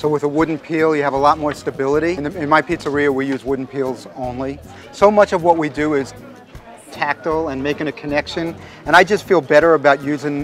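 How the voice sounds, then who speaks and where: Over faint background music, a man talks at a very fast pace with fairly even intonation, the sound dry with no echo. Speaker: pizza chef demonstrator. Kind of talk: demonstration talk to audience. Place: open country.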